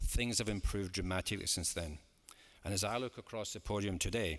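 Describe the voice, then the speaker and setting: A man talks at a fairly quick pace in a fairly low pitch with a bright, sharp tone. The recording is very clean, with a silent background. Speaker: football club chairman. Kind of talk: formal AGM speech to shareholders. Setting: large hall with an audience. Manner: measured, formal.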